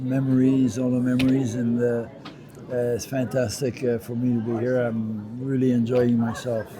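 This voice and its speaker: Over noticeable background noise and audible room echo, a man talks at a moderate pace and medium pitch with monotone, flat intonation. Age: 70s. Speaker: retired pro wrestler. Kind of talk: interview. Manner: halting, many fillers.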